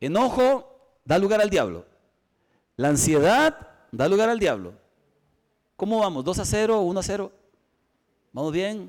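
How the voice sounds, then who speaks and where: A man's high-pitched voice with very wide pitch swings, at a fairly slow pace with long, frequent pauses. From Costa Rica. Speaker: pastor. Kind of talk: sermon.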